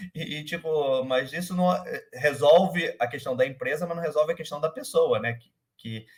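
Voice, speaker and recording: Big swings in loudness from a man speaking with a fairly high pitch, ordinary pitch variation and a moderate pace. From Rio de Janeiro, Brazil. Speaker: startup manager. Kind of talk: interview. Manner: halting, many fillers.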